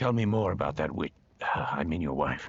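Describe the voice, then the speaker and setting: Putting on a character voice, a man growls in a raspy, very deep, low pitch. He moves at a fairly quick pace. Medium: video game. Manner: blunt, direct.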